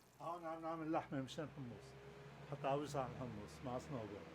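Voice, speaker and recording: Fairly high male pitch at a moderate pace, from a man in a Lebanese accent with ordinary pitch variation. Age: 70s. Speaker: retired restaurant owner, cook. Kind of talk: casual interview. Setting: home kitchen.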